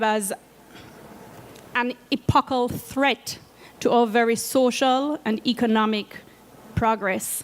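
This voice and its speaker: A woman speaks with a Jamaican accent. Her pitch is high. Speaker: climate finance program coordinator. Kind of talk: presentation talk. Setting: seated presentation at conference media zone.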